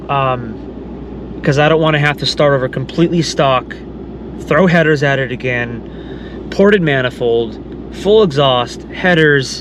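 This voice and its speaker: At a fairly slow pace, a man with a fairly high pitch speaks over noticeable background noise. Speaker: car vlogger. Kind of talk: casual vlog talk. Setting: in a car.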